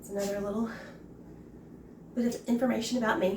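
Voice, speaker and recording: With an American accent, a woman speaks fairly quickly at a medium pitch, and some room echo can be heard. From US South, Mississippi. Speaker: home cook. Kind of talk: cooking tutorial. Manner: casual, chatty.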